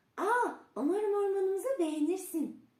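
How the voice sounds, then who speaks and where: Extremely high and squeaky, this put-on character voice moves at a moderate pace. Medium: read story. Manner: bright, chirpy.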